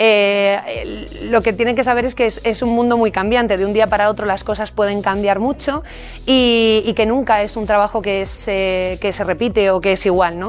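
At a moderate pace, a woman speaks in a fairly high pitch with monotone, flat intonation. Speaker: radio journalist and presenter, university lecturer. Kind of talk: interview answer. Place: studio. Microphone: studio mic.

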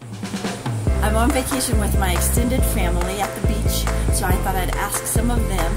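A woman's voice sits over loud music in the background. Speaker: professional organizer. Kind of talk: casual interview questions. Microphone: phone near.

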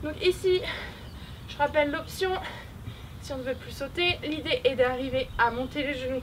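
The pitch swings very widely at a moderate pace. Background noise is noticeable throughout. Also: woman. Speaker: fitness coach. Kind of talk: workout tutorial instructions. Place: open country.

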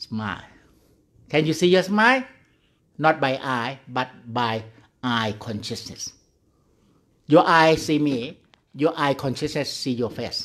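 Against a quiet background, a man uses lively intonation and leaves long, frequent pauses. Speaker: Buddhist monk meditation teacher. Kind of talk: guided meditation. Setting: online video call. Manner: slow, calm, gently instructing with pauses; simple, repetitive, halting English. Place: hall. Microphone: studio mic.

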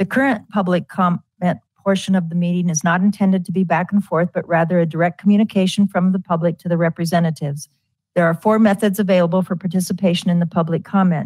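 Speaking very fast, a woman uses a fairly low, somewhat breathy voice with fairly even intonation. The sound is dry with no echo, over a quiet background. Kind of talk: formal meeting procedure reading. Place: hall.

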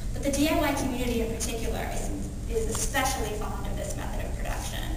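Someone talks at a very fast pace amid strong room echo and noticeable background noise. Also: woman. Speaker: keynote speaker. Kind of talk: conference keynote. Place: hall.

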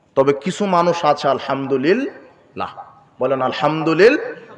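The speaker's intonation is lively over noticeable background noise. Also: man. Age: 20s. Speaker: Islamic preacher. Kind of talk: sermon.

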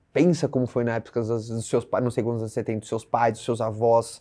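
A man speaks against a quiet background. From Brazil. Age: 30s. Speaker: YouTuber. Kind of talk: casual vlog monologue. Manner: animated. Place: studio. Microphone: lapel.

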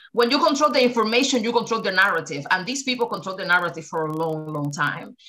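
At a very fast pace with hardly any pauses, a woman speaks with very wide pitch swings. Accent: Spanish. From Cuba. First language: Spanish. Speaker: activist. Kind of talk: casual discussion. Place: home room.

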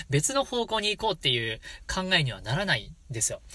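In a very clean recording with a silent background, a man uses a raised, projected voice with a bright, sharp tone, a high pitch, very wide pitch swings and a fairly quick pace. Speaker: shigin (Japanese poetry chanting) channel host. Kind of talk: casual solo talk to viewers.

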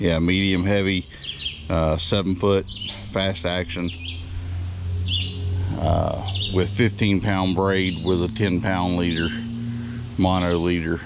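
The speaker talks at a slow pace with long, frequent pauses and little pitch movement, over clear background noise. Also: man, low pitch for a man.

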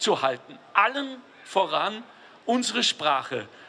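A man speaks in a raised, projected voice. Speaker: guest. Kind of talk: humorous public speech. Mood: jovial, joking. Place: street. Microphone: handheld.

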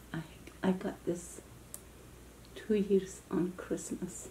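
Soft-spoken and with a gentle tone, a woman talks over light background noise. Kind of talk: casual vlog chat. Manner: soft-spoken ASMR voice, gentle and quiet. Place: home room. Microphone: camera far.

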